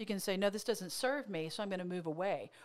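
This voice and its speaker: At a fairly quick pace, a woman speaks with an American accent. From Oklahoma. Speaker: motivational speaker and therapist; motivational speaker. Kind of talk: casual chat. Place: studio. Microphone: studio mic.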